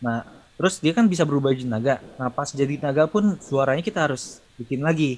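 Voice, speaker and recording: A man talks at a very fast pace, his fairly high pitch showing ordinary variation. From Indonesia. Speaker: sound designer and lecturer; lecturer. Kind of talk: casual chat. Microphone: video call.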